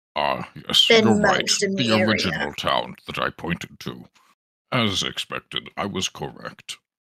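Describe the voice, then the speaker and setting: A man speaks at a fairly slow pace, putting on a character voice. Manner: smug, self-assured, formal.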